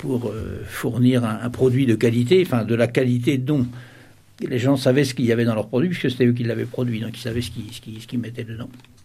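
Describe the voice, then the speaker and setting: Speaking at a fairly quick pace, a man with a medium pitch sounds somewhat breathy, his intonation fairly even. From Sarthe, western France. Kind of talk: interview testimony. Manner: hesitant, many repetitions.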